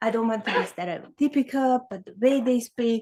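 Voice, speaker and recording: On a very clean recording with a silent background, a woman with a high pitch speaks at a fairly slow pace with fairly even intonation. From Hungary. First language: Hungarian. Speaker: sociologist, keynote speaker. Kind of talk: conference keynote talk.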